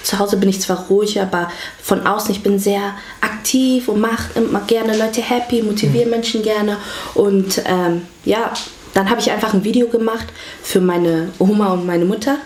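Over noticeable background noise and audible room echo, a woman speaks at a very even loudness. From Hamburg, Germany. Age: 20s. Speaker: vlogger. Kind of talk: casual interview.

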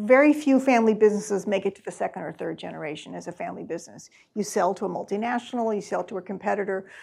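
Speaking very fast with hardly any pauses, a woman with an American accent uses a medium pitch, lively intonation, vocal fry and big swings in loudness on a very clean recording with a silent background. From US Midwest. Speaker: author. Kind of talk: book talk Q&A. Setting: in-person event with audience.

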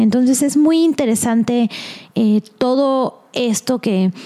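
Her intonation stays fairly even as this woman speaks at a very slow pace. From Mexico. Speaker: podcast host.

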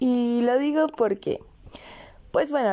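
A woman's dark, mellow tone at a moderate pace over a quiet background. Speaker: podcast host. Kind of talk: casual monologue.

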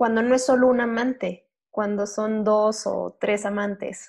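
This woman talks at a fairly high pitch, with ordinary variation in her pitch. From Durango, Mexico. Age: 20s. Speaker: podcaster. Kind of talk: casual chat.

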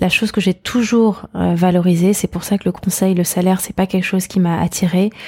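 Speaking at a moderate pace and medium pitch, a woman has a somewhat breathy voice with a dark, mellow tone. Her intonation is monotone and flat, with a dry, close sound and no echo. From Paris, France. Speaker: painter and entrepreneur. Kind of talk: interview conversation. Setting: art gallery. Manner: halting with frequent fillers.

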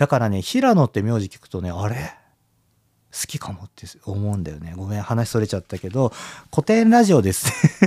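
On a very clean recording with a silent background and a dry, close sound with no echo, a man speaks with a dark, mellow tone at a fairly low pitch. His intonation is lively and his loudness swings widely. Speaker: podcast host and glass bead designer. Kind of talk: solo podcast monologue. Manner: fast; casual, chatty.

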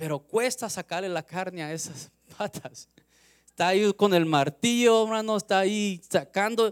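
Recorded very cleanly against a silent background, a man speaks at a fairly slow pace in a high pitch. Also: ordinary pitch variation. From US West Coast, Los Angeles. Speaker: lay preacher. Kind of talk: sermon. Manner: halting.

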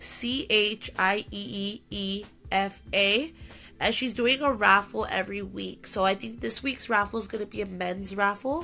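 Over music in the background, a woman talks at a fairly slow pace with medium pitch and ordinary pitch variation. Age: 20s. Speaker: podcast host. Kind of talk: casual monologue. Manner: casual, many fillers.

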